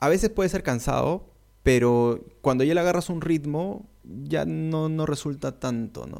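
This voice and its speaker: In a very clean recording with a silent background, a man speaks at a medium pitch with very wide pitch swings. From Peru. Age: 30s. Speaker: content creator and university lecturer. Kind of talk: casual interview.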